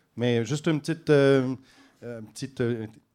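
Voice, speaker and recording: The voice has a dark, mellow tone with ordinary pitch variation. The recording is very clean, with a silent background. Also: man. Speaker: politician. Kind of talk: political debate. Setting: bar with live audience.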